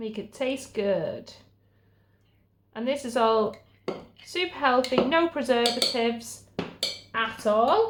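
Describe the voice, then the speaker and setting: A woman with a British accent speaks at a very slow pace, her high voice showing ordinary pitch variation between long, frequent pauses. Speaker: stay-at-home mum vlogger and podcast host. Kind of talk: cooking tutorial.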